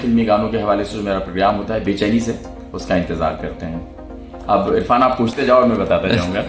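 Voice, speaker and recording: There is noticeable background noise behind this man's voice. His pitch varies in an ordinary way. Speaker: radio jockey at an FM station. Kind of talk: interview answer.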